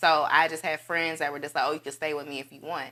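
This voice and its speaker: With an Alabama accent, a woman speaks at a very fast pace in a very deep, low pitch and a bright, sharp tone, her intonation monotone and flat on a very clean recording with a silent background. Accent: Southern US (Alabama). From US South, Dothan, Alabama. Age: 20s. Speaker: actress. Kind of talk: casual interview.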